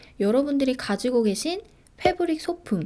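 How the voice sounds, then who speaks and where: Through noticeable background noise, a woman talks with very wide pitch swings. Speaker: embroidery instructor. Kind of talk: ASMR embroidery tutorial narration. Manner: whispery, soft-spoken.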